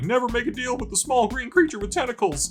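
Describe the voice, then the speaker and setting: Over clear music in the background, a man does a put-on character voice at an extremely high pitch and a very fast pace. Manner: weepy, broken by sobs.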